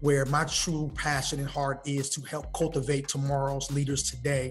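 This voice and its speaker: A man speaks in a monotone, flat intonation at a moderate pace, with faint music in the background. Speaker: podcast guest. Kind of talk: interview answer. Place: hall. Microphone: video call.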